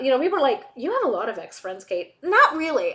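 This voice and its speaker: A woman speaks with very wide pitch swings. Noticeable background noise runs behind her. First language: Hebrew. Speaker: streamer. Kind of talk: casual chat. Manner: halting.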